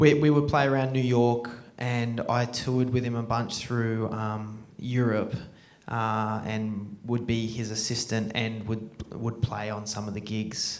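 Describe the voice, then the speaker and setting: A man with an Australian accent at a fairly slow pace, monotone and flat in intonation, with audible room echo. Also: medium pitch for a man. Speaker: film director and jazz drummer. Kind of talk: Q&A after film screening. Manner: halting, many fillers.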